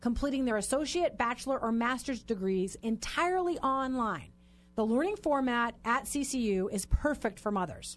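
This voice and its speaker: A woman speaks loudly and fairly quickly, her fairly high voice swinging very widely in pitch. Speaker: radio host. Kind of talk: casual chat. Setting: radio studio. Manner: fast talker.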